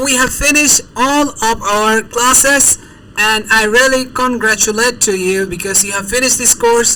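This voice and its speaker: With a Bangladeshi accent, someone speaks at a very slow pace over noticeable background noise. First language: Bengali. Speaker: language tutor. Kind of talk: language lesson.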